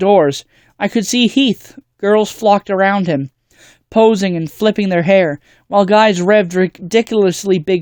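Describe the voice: With a quiet background behind it, someone reads aloud plainly.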